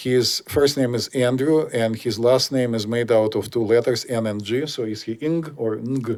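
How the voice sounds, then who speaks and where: In a Russian accent, a man speaks at a moderate pace with fairly even intonation. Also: medium pitch for a man, hardly any pauses. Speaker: podcast host. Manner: hesitant, many fillers.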